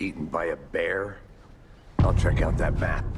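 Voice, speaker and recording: A man speaks in a put-on character voice with a deadpan tone over loud background noise. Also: moderate pace. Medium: video game. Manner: deadpan, terse.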